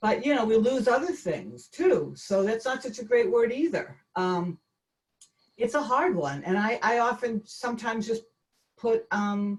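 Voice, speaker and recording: A woman talks at a fairly slow pace with a Boston accent. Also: fairly high pitch for a woman, lively intonation. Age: 60s. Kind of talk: talk with Q&A on a video call. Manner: halting, with frequent fillers and restarts.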